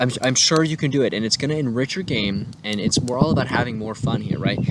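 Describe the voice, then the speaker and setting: A man rattles along very fast at a medium pitch, with ordinary pitch movement and noticeable noise behind him. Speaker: tabletop RPG content creator. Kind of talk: tutorial. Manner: animated.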